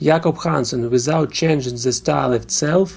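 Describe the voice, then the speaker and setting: A man with a Russian accent speaks at a fairly high pitch, somewhat breathy, with fairly even intonation. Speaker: music reviewer. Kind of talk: album review.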